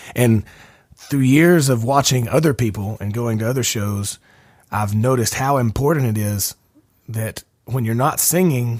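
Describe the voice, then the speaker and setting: Mumbling, a man speaks at a medium pitch with an Alabama accent. His pace is moderate and his pitch variation ordinary. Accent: Alabama Southern US. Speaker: podcast host and singer-songwriter. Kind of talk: casual chat. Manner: tends to mumble.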